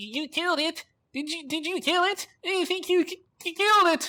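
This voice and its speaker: This put-on character voice sits at an extremely high pitch. It moves along at a moderate pace. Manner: chattering.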